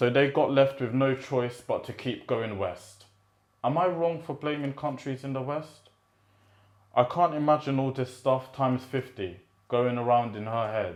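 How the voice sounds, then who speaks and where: A man with a medium-pitched voice talks at a moderate pace. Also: ordinary pitch variation. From British-born, Rwandan heritage. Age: 20s. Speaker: poet. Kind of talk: spoken word poetry reading.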